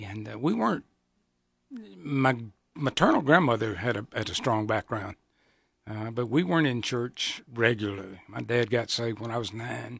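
A man's medium-pitched voice in a Southern US accent, with ordinary pitch variation and a moderate pace, on a very clean recording with a silent background. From US South, Georgia. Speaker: pastor. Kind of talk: radio interview. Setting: studio.

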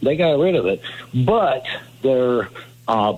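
Through noticeable background noise, a man with a medium pitch talks at a moderate pace with lively intonation. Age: 60s. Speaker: caller. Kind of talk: call-in.

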